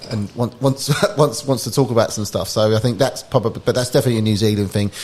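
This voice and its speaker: Talking at a very fast pace, a man uses a somewhat breathy, medium-pitched voice with ordinary pitch variation. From England (London area). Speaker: startup founder. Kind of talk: podcast interview. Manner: casual, with many fillers and restarts.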